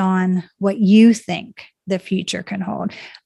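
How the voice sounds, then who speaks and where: Very slow, somewhat breathy speech against a quiet background. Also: woman. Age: 50s. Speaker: life coach and author. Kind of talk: interview conversation.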